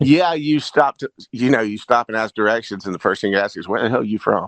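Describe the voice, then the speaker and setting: A man speaks very fast with a North Carolina accent at a medium pitch. The sound is dry and close, with no echo. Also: ordinary pitch variation. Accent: Southern North Carolina. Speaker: garage rock musician and frontman. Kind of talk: casual podcast conversation. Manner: halting, many repetitions and fillers.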